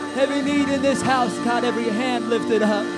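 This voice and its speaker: A man talks at a moderate pace over loud background music. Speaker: church worship leader. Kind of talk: congregational prayer. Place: church. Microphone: handheld.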